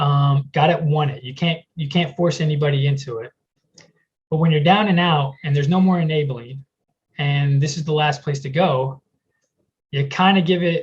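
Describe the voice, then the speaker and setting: A man with an American accent, somewhat breathy and fairly high in pitch, at a moderate pace with fairly even intonation and long, frequent pauses. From US South. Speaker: person in recovery. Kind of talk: testimony. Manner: casual, with many fillers.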